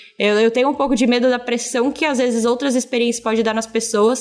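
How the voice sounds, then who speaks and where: The speaker is a woman with a high pitch. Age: 20s. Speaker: audiovisual content creator. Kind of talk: job interview-style podcast chat. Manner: animated.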